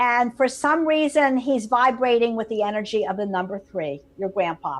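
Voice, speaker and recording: Against a quiet background, a woman with a normal speaking voice talks at a moderate pace in a fairly high pitch with lively intonation. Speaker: psychic medium. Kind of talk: live call-in psychic reading.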